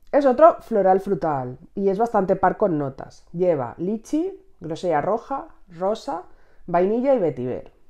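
A woman's dark, mellow tone at a fairly slow pace, with very wide pitch swings against a quiet background. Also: medium pitch for a woman. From Spain. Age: 30s. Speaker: beauty youtuber. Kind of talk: casual chat. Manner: animated. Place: home room. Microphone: lapel.

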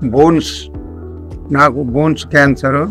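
A man talks with a fairly high pitch and fairly even intonation. Faint music sits in the background. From Nandyal, Kurnool district, Andhra Pradesh, India. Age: 70s. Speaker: retired army man, cancer patient. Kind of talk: patient testimonial. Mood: calm, matter-of-fact.

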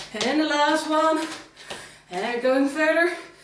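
A woman's voice carries audible room echo, with light background noise. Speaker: fitness instructor. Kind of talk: workout instruction cues. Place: empty room.

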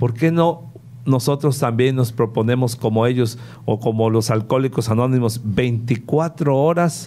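In a dark, mellow tone, a man speaks at a fairly slow pace with very even loudness and ordinary pitch variation. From Veracruz, Mexico. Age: 50s. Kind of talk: interview. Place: studio. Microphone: studio mic.

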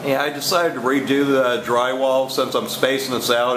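Speech at a moderate pace comes through over noticeable background noise. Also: man. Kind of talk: casual how-to narration. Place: garage. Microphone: phone near.

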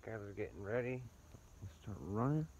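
Lively intonation, a slightly mellow tone and vocal fry, with audible room echo. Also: man, fairly low pitch for a man, moderate pace.

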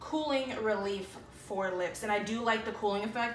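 The speaker talks at a moderate pace with ordinary pitch variation. Music plays in the background, and there is audible room echo. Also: woman. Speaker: beauty vlogger. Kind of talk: casual vlog chat. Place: home room. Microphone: phone near.

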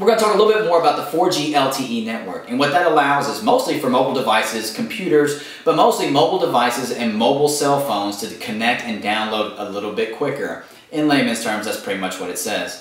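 In a room with audible echo, a man speaks very fast with hardly any pauses. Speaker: tech blogger. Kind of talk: casual vlog chat. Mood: playful, joking. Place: home room.

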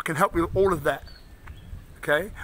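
In a London accent, a man with a high pitch and ordinary pitch variation speaks in an animated tone over light background noise. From London, England. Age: 50s. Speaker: inspirational speaker and coach. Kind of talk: motivational video address. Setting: outdoors. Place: street. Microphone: phone near.

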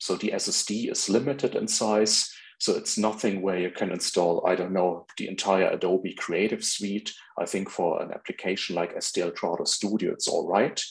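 A man is speaking at a moderate pace. Behind him, the background is quiet. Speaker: presenter. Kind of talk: lecture. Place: home room.

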